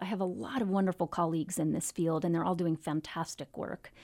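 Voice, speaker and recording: With an American accent, this voice has a dark, mellow tone and moves at a fairly quick pace in a dry, close sound with no echo. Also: woman. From Virginia. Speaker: mindfulness teacher, nonprofit founder. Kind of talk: radio interview.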